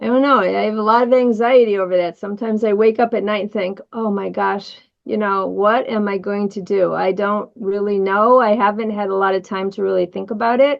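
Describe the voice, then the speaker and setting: Speaking with an American accent, a woman talks at a fairly quick pace with hardly any pauses, a medium pitch, and fairly even intonation. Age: 60s. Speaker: colorectal surgeon. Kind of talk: interview conversation.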